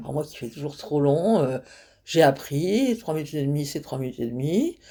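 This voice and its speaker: Her voice sits very deep and low for a woman, with a dark, mellow tone and lively intonation. The recording is very clean, with a silent background. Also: moderate pace, big swings in loudness. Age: 80s+. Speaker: stand-up comedian. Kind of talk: interview answer. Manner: frank, humorous.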